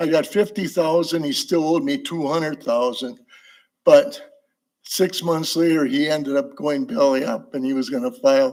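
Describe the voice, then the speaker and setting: With a Wisconsin accent, a man speaks at a high pitch in very wide pitch swings. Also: moderate pace. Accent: Upper Midwest (Wisconsin). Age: 80s+. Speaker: public commenter. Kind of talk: public comment. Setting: council meeting chamber. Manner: rambling, halting.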